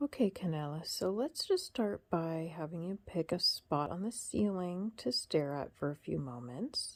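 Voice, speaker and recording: A woman with a fairly low voice speaks in a calm tone at a fairly slow pace. Her pitch swings are very wide. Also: hardly any pauses. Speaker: hypnotherapist. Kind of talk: hypnosis induction. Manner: low, calm.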